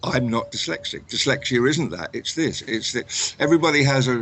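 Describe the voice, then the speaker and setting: A man with an English accent, moderate pace and ordinary pitch variation. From England. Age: 60s. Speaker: author. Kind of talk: interview. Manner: halting, repeats words.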